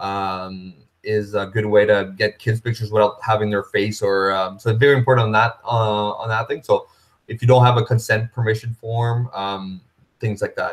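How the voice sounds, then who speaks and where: A man talks at a medium pitch with a monotone, flat delivery. His voice is somewhat breathy. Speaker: running association organizer. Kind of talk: webinar presentation. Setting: live video webinar. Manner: fast.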